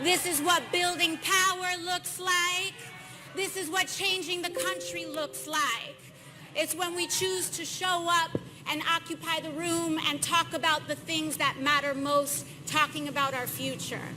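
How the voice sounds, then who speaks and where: Over noticeable background noise, a woman with an extremely high pitch uses a raised, projected voice, speaking at a fairly slow pace with fairly even intonation. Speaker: member of Congress. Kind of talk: political speech at an event.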